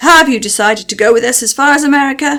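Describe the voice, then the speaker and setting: A woman uses a put-on character voice, high-pitched, raised and projected, at a very fast pace. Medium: read story. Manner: cheerful.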